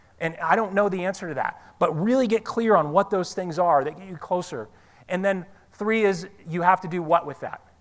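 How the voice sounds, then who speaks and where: Animated in tone, a man with a high pitch speaks with big swings in loudness. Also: ordinary pitch variation. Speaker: motivational speaker. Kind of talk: seminar talk to live audience. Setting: stage with audience. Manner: fast.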